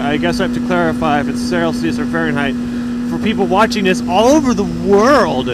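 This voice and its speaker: Loud background noise sits under a man talking at a fairly quick pace, the sound dry with no echo. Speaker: motovlogger. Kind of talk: casual vlog chat. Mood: relaxed, reflective. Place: motorbike. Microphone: helmet.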